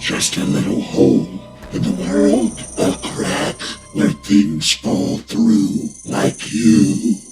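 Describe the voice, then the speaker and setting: A man does a cartoonish character voice at a fairly low pitch, speaking at a very slow pace over clear music in the background. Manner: soft-spoken, almost polite, tempting.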